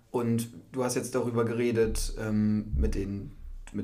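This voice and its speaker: A man speaks fairly slowly at a medium pitch, his tone dark and mellow. Room echo is audible around him. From northern Germany, Cloppenburg area. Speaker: university student. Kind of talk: casual podcast chat.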